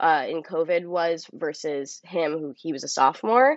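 A woman speaks at a fairly slow pace in a plain, everyday voice. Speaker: actress. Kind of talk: casual interview chat. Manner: casual, filler-heavy, uses 'like' often.

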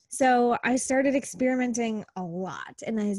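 With an American accent, a woman speaks at a moderate pace in a fairly high, somewhat breathy voice with ordinary pitch variation, recorded dry and close with no echo against a quiet background. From US Midwest, small-town Wisconsin. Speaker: business coach. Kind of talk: casual interview.

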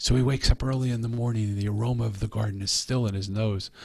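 A man with an American accent talks very fast at a medium pitch. His voice is somewhat breathy, with a monotone, flat intonation. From Philadelphia, US. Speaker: author. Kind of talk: interview.

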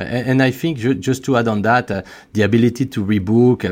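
Here a man speaks at a fairly quick pace. His pitch sits in the medium range. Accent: French. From France. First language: French. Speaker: beauty company executive. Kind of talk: interview, business talk. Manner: slightly halting, repeats words.

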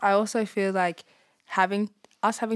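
The recording of a woman with an Australian accent is very clean, with a silent background and a dry, close sound with no echo. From Darwin, Australia. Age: young. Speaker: former prisoner. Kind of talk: interview testimony.

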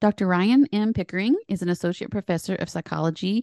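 A woman talks at a very fast pace with an American accent, a dark, mellow tone and ordinary pitch variation. The sound is dry and close with no echo, over a quiet background. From Appalachia, US. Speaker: podcast host, professor. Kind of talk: interview, podcast conversation.

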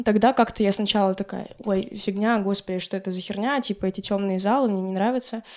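In a very clean recording with a silent background, a woman with an unremarkable speaking voice talks at medium pitch and a fairly quick pace, with fairly even intonation and hardly any pauses. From Karelia, Russia. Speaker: blogger and DJ. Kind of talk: casual chat. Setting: at host's home.

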